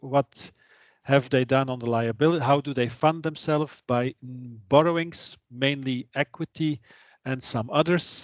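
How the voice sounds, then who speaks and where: Someone with a Flemish accent speaks at a fairly slow pace with fairly even intonation. The sound is dry and close with no echo, against a quiet background. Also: man, fairly high pitch for a man. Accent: Flemish Dutch accent in English. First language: Dutch. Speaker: trainer. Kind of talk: lecture. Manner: halting.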